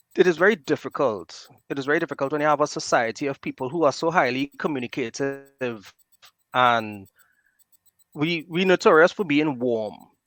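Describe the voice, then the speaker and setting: Recorded very cleanly with a silent background and a dry, close sound with no echo, a man speaks at a moderate pace with lively intonation and a fairly high pitch. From Trinidad and Tobago, southwest. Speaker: podcast guest, fellow podcaster. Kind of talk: casual podcast conversation.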